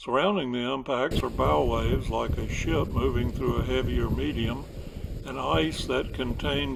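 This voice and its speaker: A man with a South Carolina accent talks at a fairly slow pace. His medium-pitched voice carries vocal fry. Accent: South Carolina Southern. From US South. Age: 70s. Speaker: local history narrator. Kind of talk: scripted narration.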